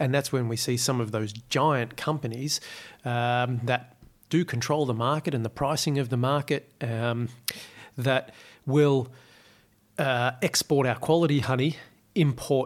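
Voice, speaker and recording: With an Australian accent, a man speaks at a medium pitch in fairly even intonation, leaving long, frequent pauses, in a very clean recording with a silent background. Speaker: urban beekeeper. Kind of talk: casual interview. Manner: halting, many fillers.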